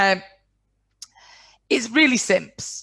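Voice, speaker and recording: With a northern English accent, a woman speaks at medium pitch in a bright, sharp tone with very wide pitch swings. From northwest England. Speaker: business coach. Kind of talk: webinar presentation. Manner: blunt.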